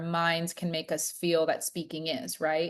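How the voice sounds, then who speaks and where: With an American accent, a woman talks at a moderate pace and a fairly low pitch. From United States. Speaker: leadership trainer. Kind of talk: virtual class facilitation. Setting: video call. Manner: animated.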